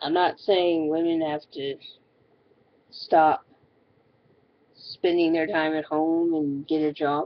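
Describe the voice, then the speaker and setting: The delivery is very slow and monotone, with flat intonation and long, frequent pauses throughout. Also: woman, very deep, low pitch for a woman. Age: 20s. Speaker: video blogger. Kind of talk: casual monologue.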